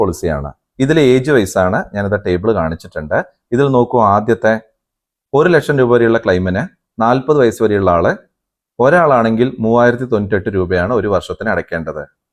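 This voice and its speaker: Lively intonation marks this man's medium-pitched voice, an unremarkable speaking voice. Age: 40s. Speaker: YouTube explainer host. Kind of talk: tutorial.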